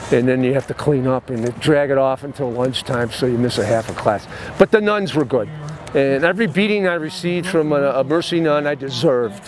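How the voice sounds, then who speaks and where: A voice with an American accent moves at a fairly quick pace with lively intonation over noticeable background noise. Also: man, fairly high pitch for a man. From Chicago, Illinois. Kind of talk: interview answer.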